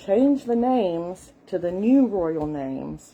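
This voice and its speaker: With lively intonation, a woman talks in a Southern US accent and a dark, mellow tone. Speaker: content creator. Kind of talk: casual talk. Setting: live stream. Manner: hesitant, with fillers.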